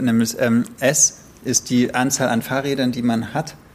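Here is a man with a normal speaking voice. His pitch is medium, with ordinary pitch variation. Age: 30s. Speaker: podcast co-host. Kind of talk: casual chat about books.

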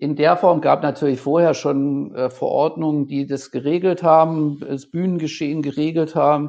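This man's pitch is fairly high and his intonation fairly even. He keeps a moderate pace with hardly any pauses. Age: 50s. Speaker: event production manager. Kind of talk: interview. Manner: halting.

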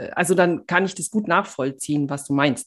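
A woman speaks in a normal speaking voice at a moderate pace, her fairly low pitch showing ordinary pitch variation. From Bavaria. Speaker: podcast co-host. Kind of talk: casual chat.

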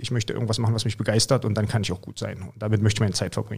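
A man is speaking. His voice has vocal fry. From Mecklenburg-Vorpommern, eastern Germany. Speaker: American football coach. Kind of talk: casual interview.

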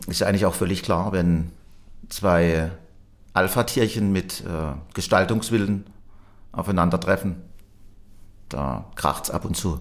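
Taking long, frequent pauses, a man with a very deep, low voice speaks at a fairly slow pace. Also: ordinary pitch variation. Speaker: company managing director. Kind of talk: interview.

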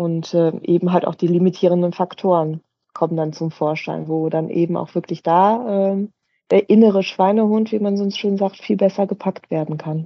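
With fairly even intonation, a woman speaks in a plain, everyday voice pitched fairly low. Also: moderate pace. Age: 40s. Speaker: personal trainer. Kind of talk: interview.

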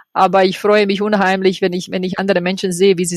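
In a Croatian accent, a woman speaks with fairly even intonation. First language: Croatian (speaking German). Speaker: yoga project organizer. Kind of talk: interview. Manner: halting.

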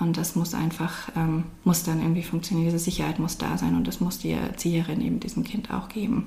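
A woman at a very fast pace and fairly low pitch, with ordinary pitch variation, audible room echo and noticeable background noise. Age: 30s. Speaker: social worker and daycare consultant. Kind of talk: interview.

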